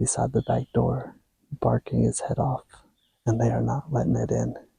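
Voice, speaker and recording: A man with an American accent whispers at a fairly slow pace. The sound is dry and close, with no echo. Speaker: hunting vlogger. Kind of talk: hunting vlog commentary. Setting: outdoors in a deer stand. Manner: whispering.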